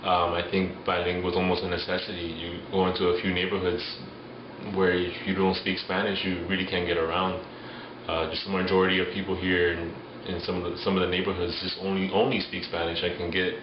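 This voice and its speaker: In a Miami accent, a man with a very deep, low pitch speaks at a fairly quick pace with monotone, flat intonation, amid audible room echo and noticeable background noise. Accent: Miami American English. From Miami, Florida. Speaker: interviewee. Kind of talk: street interview.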